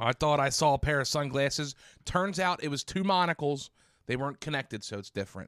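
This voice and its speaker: A plain, everyday voice from a man, lively in intonation at a fairly quick pace, on a very clean recording with a silent background. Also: fairly high pitch for a man, dry, close sound with no echo. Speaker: podcast host. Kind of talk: casual chat. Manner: joking banter.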